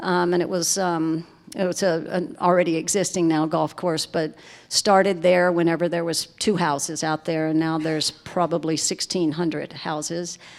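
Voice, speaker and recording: Here a woman speaks with a Southern US accent at a fairly low pitch. Her moderate pace carries a monotone, flat intonation. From US South, Lake Charles, Louisiana. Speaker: resort managing director. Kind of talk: panel conversation.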